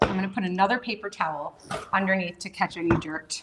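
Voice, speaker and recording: Very fast speech from a woman, with noticeable background noise behind her. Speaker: cooking show host. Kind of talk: live cooking demonstration. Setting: kitchen livestream. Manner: animated.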